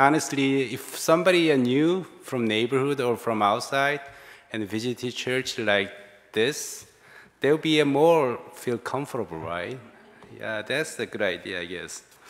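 The speech moves at a fairly slow speed. Nothing much stirs in the quiet background. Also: man. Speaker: pastor preaching. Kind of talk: sermon. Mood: warm, smiling. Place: church. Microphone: podium.

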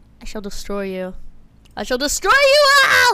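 A woman uses a put-on character voice at an extremely high pitch, raised and projected, at a moderate pace. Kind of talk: grandiose, formal. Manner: theatrical, menacing, mock-threatening.

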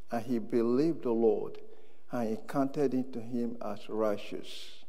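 A man speaks at a very slow pace with a quiet background behind him. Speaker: preacher. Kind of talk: sermon. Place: church. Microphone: lapel.

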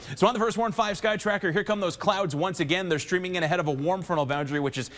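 This man talks at a very fast pace. His voice is high-pitched, with ordinary variation. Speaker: TV meteorologist. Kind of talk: weather forecast. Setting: TV studio. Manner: chatty, conversational forecaster. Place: studio.

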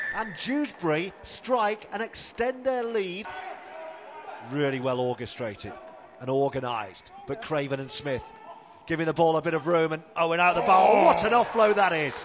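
This man's voice sits high for a man and swings very widely in pitch, with noticeable noise in the background. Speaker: rugby league commentator. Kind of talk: live sports commentary. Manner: animated, fast-paced play-by-play.

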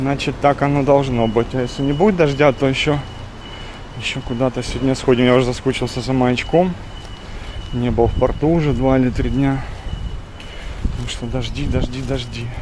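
A man speaks with long, frequent pauses and fairly even intonation. Noticeable background noise sits under a dry sound with no echo. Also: moderate pace. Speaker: travel vlogger. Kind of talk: casual vlog chat. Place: street. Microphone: phone near.

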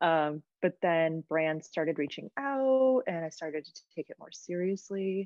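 In an unremarkable speaking voice, a woman with an American accent talks at a fairly slow pace and fairly low pitch, with lively intonation, big swings in loudness and hardly any pauses. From US Midwest, small-town Michigan. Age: 30s. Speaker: travel content creator. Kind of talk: casual interview.

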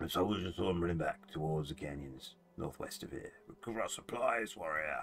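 A gravelly, put-on character voice runs at a fairly quick pace. Music plays in the background. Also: man, very deep, low pitch for a man.

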